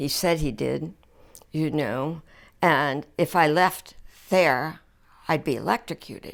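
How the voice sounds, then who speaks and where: A woman with a very deep, low voice and an American accent, on a very clean recording with a silent background. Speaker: former ballet dancer. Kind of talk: interview answer.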